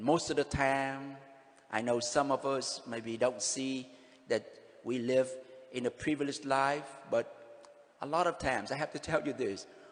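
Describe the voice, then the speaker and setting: A man talks at a moderate pace in a medium pitch, with fairly even intonation. His speech is broken by long, frequent pauses. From Vietnam. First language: Vietnamese. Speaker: pastor. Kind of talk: sermon.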